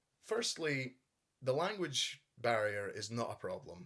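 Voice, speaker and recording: A man in a Scottish accent with lively intonation. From Scotland. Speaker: YouTuber, collector. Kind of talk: casual show-and-tell.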